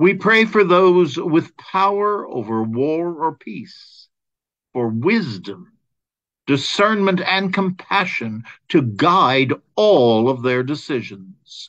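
A man with a high pitch speaks very slowly in a solemn tone, his pitch swinging very widely. The background is quiet. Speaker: caregiving advocate and host. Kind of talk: fervent prayer. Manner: solemn, heartfelt, measured. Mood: calm, solemn, gentle. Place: home room. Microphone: webcam.

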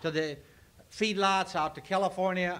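Speaking at a moderate pace in an American accent, the voice is raised and projected, with a bright, sharp tone. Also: man. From Nebraska. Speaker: farm organization grain representative. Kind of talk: convention speech. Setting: convention meeting hall. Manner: folksy. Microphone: old recording.

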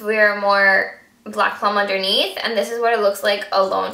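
Bright and sharp in tone, a woman's fairly high voice moves at a moderate pace with audible room echo. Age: 20s. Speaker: beauty vlogger. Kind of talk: product review vlog. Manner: animated. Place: home room. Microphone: camera far.

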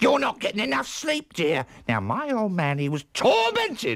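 A put-on character voice with very wide pitch swings, a fairly bright tone and vocal fry, at a fairly slow pace. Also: man, high pitch for a man.

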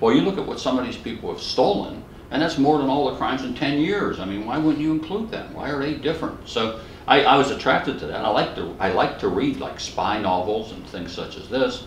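A man with an American accent talks at a fairly quick pace, his pitch swinging very widely. There is audible room echo and light background noise. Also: fairly high pitch for a man, big swings in loudness. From Western Pennsylvania, US. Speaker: criminology professor. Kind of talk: oral history interview. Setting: academic conference. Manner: humorous storyteller. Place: home room.

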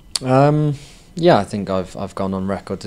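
A man speaks in a Welsh accent at a moderate pace. His pitch variation is ordinary. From Wales. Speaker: professional footballer; guest. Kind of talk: interview. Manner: halting, many fillers. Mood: relaxed, modest. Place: studio. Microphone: handheld.

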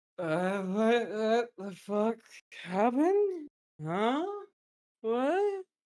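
A put-on character voice, fairly high in pitch, moves at a very slow pace with long, frequent pauses.

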